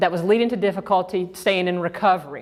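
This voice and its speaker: A woman speaks at a very fast pace with a Georgia accent. Her pitch varies in an ordinary way. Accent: Georgia (US South). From US South, Georgia. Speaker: sex therapist and trainer. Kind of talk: lecture.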